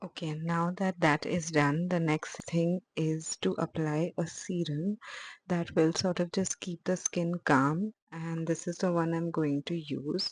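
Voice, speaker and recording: A woman talks quietly at a fairly slow pace. Her fairly low voice stays monotone and flat. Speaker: beauty vlogger. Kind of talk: casual vlog tutorial. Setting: at home at night. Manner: slow, quiet.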